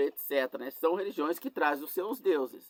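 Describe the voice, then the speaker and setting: The man's voice shows ordinary pitch variation, heard as dry, close sound with no echo. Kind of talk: sermon. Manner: slow; halting.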